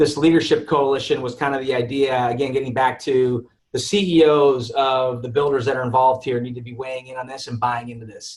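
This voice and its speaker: A man talks at a fairly quick pace with a medium pitch and monotone, flat intonation. His voice is somewhat breathy, with big swings in loudness. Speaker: real estate developer executive. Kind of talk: webinar presentation. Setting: webinar. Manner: fast.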